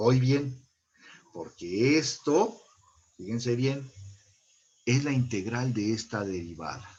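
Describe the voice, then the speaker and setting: Somewhat breathy, a man speaks at a medium pitch with ordinary pitch variation, a very slow pace and long, frequent pauses. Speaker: online high school math teacher. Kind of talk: lecture.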